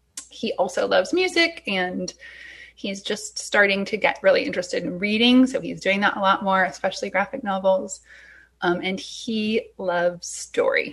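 Speech proceeds at a moderate pace. Little can be heard in the quiet background. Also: woman. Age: 40s. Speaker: unschooling parent. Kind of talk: interview conversation.

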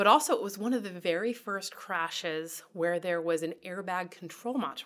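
Here is a woman at medium pitch with an ordinary speaking voice and ordinary pitch variation. She keeps a moderate pace with hardly any pauses. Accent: American. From rural Iowa, US Midwest. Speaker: highway crash investigator. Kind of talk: interview.

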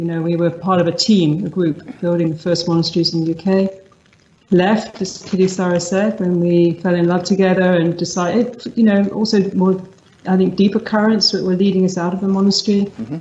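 A woman with a London accent speaks at a medium pitch and a fairly quick pace with fairly even intonation, over noticeable background noise. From England, London (East End roots). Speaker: meditation teacher. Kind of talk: interview conversation. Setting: video call.

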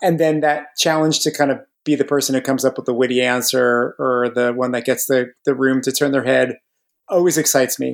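A man with a normal speaking voice in an American accent, fairly even intonation and a very clean recording with a silent background. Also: medium pitch for a man. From New Jersey, north central. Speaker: board game publisher. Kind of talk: casual chat.

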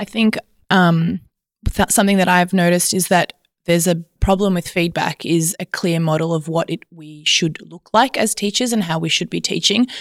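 With an Australian accent, a woman talks at a moderate pace in a fairly low pitch with ordinary pitch variation. The sound is dry and close, with no echo. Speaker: teacher. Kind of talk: panel discussion.

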